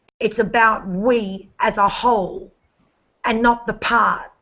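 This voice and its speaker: A woman speaks with an American accent at a fairly high pitch. Her pace is very slow. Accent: Australian with slight Texas twang. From Australia. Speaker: network marketer. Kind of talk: casual chat.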